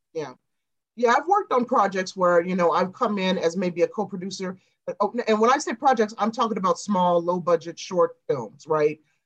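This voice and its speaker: A woman's medium-pitched voice in an American accent, animated in tone, with lively intonation and a moderate pace. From Chicago South Suburbs, Illinois. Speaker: celebrity journalist and screenwriter. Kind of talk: interview conversation.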